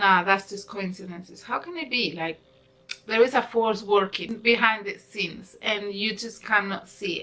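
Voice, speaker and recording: Over noticeable background noise, a woman talks in an animated tone with a non-native accent. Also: medium pitch for a woman, ordinary pitch variation, moderate pace, big swings in loudness. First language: not English. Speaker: YouTuber, law of attraction vlogger. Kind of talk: casual vlog talk. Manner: rambling, unscripted.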